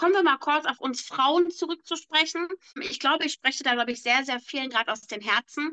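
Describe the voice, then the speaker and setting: In a raised, projected voice, a woman speaks fairly quickly with a high pitch and a bright, sharp tone, the sound dry and close with no echo. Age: 30s. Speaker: podcast co-host. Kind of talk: casual chat.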